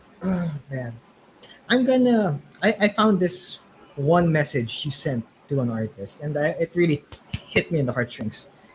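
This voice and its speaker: Amid noticeable background noise, a man speaks at a fairly high pitch with very wide pitch swings and long, frequent pauses. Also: moderate pace. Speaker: interview host. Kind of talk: interview. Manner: animated.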